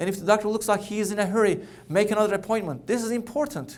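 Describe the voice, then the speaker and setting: With audible room echo, a man speaks at a very fast pace in a Turkish accent. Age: 40s. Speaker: cancer doctor. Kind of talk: keynote talk. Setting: conference stage with audience. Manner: halting with repetitions.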